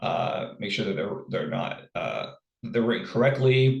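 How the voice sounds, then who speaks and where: Somewhat breathy, a man talks at a fairly slow pace with a medium pitch. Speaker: college instructor. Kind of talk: recorded lecture. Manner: halting, many fillers and repeats.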